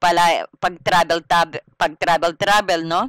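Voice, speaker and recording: In a very clean recording with a silent background, the words unfold fairly slowly. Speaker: tarot reader. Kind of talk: tarot reading. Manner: loud; casual, conversational.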